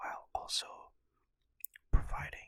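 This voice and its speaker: A man is whispering at a fairly slow pace. The sound is dry and close, with no echo. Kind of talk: casual talk to camera. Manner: soft-spoken, mellow.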